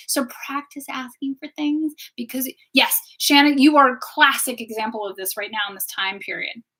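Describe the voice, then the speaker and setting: A woman with a high-pitched voice talks at a fairly quick pace. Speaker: wellness teacher and tarot reader. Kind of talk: live stream talk. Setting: live stream on social media. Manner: loud; animated.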